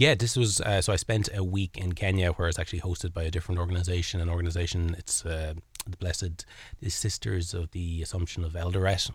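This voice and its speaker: In a Kilkenny Irish accent, a man speaks very fast in a very deep, low, somewhat breathy voice with monotone, flat intonation, on a very clean recording with a silent background. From Ireland, Kilkenny. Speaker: charity volunteer. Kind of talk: interview. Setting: studio.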